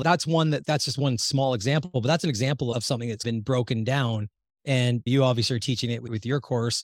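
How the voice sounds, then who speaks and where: At a fairly quick pace, a man speaks at medium pitch in a plain, everyday voice on a very clean recording with a silent background. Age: 50s. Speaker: physiologist and medical educator. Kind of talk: interview. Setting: home podcast studio.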